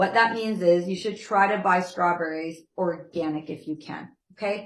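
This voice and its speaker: With a normal speaking voice, a woman at medium pitch keeps a moderate pace and fairly even intonation while her loudness swings widely. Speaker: nutrition class instructor. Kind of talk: lecture. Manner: conversational, checking in with class.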